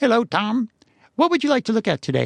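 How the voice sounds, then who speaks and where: Putting on a character voice, a man talks at a fairly quick pace with an extremely high pitch. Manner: stilted, mechanical.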